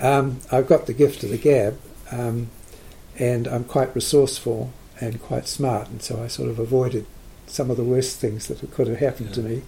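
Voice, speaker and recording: At a moderate pace, a man speaks with a New Zealand accent. His pitch sits in the medium range, and his intonation stays fairly even. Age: 80s+. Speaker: retired psychologist. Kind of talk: casual chat. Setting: studio. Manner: hesitant, many fillers.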